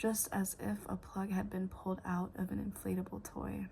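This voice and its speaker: The soft-spoken delivery moves at a fairly slow pace. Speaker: ASMR content creator. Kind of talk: soft-spoken ASMR book reading. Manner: soft-spoken, quiet, slow.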